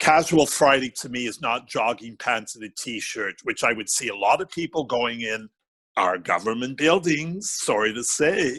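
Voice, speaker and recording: Lively intonation and big swings in loudness mark this bright, sharp voice, delivered at a moderate pace with a dry, close sound and no echo. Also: man, medium pitch for a man. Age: 70s. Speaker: fashion and fragrance columnist. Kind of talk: podcast interview.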